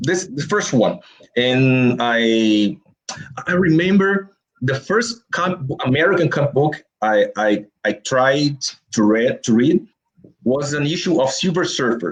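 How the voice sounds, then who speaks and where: Speaking at a very slow pace, a man with a Brazilian Portuguese accent uses a fairly high pitch with very wide pitch swings. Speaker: comic book artist. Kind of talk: interview. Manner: halting.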